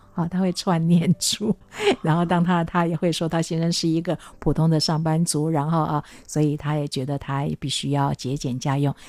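This woman's voice is very deep and low, with a dark, mellow tone, a fairly quick pace and fairly even intonation. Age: 60s. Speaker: author and translator. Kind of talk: interview. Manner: frequent fillers and hesitations.

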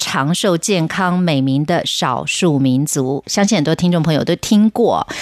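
Her voice is a plain, everyday voice, fairly low in pitch for a woman, with ordinary pitch variation. She speaks at a fairly slow pace, the sound dry and close with no echo. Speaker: radio host. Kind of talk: radio announcement; interview.

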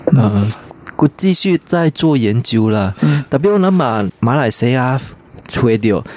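Lively intonation marks this man's medium-pitched voice. The sound is dry and close, with no echo. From Malaysia. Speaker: theatre scholar. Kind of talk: radio interview.

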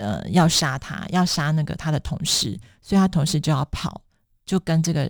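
A woman with a fairly low pitch speaks at a moderate pace, with vocal fry and ordinary pitch variation. The sound is dry and close with no echo, on a very clean recording with a silent background. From Taiwan. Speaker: author. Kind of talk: interview.

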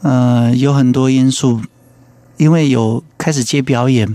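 Against noticeable background noise, a man with a fairly high pitch talks at a very slow pace. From Yilan, Taiwan. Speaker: singer-songwriter. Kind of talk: radio interview.

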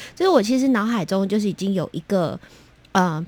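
With a Taiwanese accent, a woman speaks at a fairly quick pace in a medium pitch, her intonation lively. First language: Taiwanese Hokkien (speaking Chinese). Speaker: children's music producer. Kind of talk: interview.

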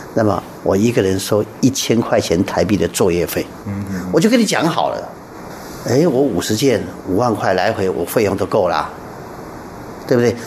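Noticeable background noise sits behind a man whose fairly low voice has lively intonation. He keeps a moderate pace, with long, frequent pauses. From Taiwan. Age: 60s. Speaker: art association chairman, painter. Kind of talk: radio interview.

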